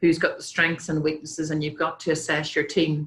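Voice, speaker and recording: In a Northern Irish accent, the speaker talks in a monotone, flat intonation, with audible room echo. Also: woman. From Northern Ireland. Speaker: company president and speaker. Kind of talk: conference talk with slides. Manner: hesitant with many fillers.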